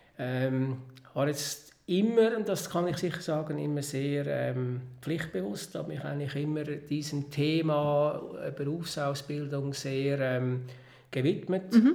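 A man's fairly high voice in a Swiss accent, very slow pace, ordinary pitch variation, audible room echo and noticeable background noise. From Switzerland, Lake Zurich area. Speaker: entrepreneur. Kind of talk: interview.

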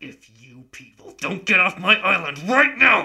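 A man performs a put-on character voice with big pitch swings and vocal fry, pitched high. His tone is bright and sharp, and he goes at a fairly slow pace.

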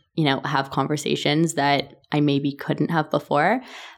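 Speaking at a fairly quick pace with a Canadian accent, a woman uses a very deep, low pitch and fairly even intonation. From Canada, Toronto. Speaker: company founder and CEO. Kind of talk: interview.

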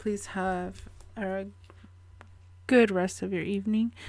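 In a very clean recording with a silent background, a woman speaks very slowly at medium pitch, her tone dark and mellow and her intonation fairly even. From Ecuador. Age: 30s. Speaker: podcast host. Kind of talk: casual monologue. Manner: casual with fillers.

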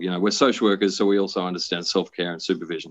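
The voice belongs to a man. He speaks with an Australian accent. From Brisbane, Queensland, Australia. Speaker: social worker. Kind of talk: interview.

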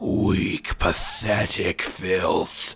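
This is a put-on character voice. It sounds raspy. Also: man, fairly low pitch for a man. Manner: screeching, contemptuous.

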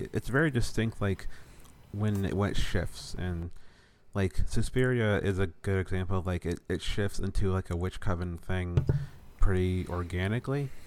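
A man talks at a moderate pace. His pitch is very deep and low, with ordinary variation. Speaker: podcast host. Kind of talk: casual chat. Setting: video call.

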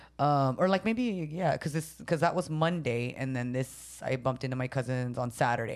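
A woman with a Filipino accent, very deep and low-pitched for a woman, at a fairly quick pace. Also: ordinary pitch variation. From San Jose, California. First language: Tagalog. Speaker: podcast co-host, comedian. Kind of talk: casual chat. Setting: studio.

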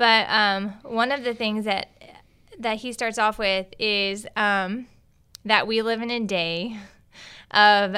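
On a very clean recording with a silent background, a woman with fairly high pitch and a bright, sharp tone speaks with ordinary pitch variation. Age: 30s. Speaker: podcast co-host, catechetical specialist. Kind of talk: casual chat.

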